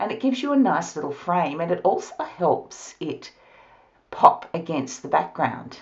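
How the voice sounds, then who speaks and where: Intonation rises and falls in a lively way. The words come with an Australian accent. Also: woman. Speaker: card-making crafter. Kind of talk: tutorial.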